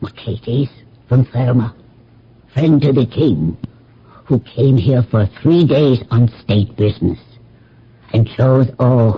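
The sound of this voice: A man puts on a character voice with a husky, rough edge at medium pitch. He speaks slowly, with lively intonation.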